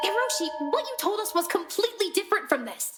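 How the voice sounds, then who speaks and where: A woman puts on a squeaky character voice at an extremely high pitch. She talks at a very fast pace. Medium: video game.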